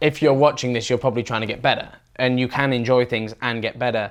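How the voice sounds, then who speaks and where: The speaker is a man with a medium pitch. His intonation stays fairly even. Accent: British. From Britain.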